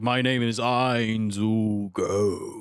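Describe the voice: Putting on a character voice, a man talks at a medium pitch with monotone, flat intonation.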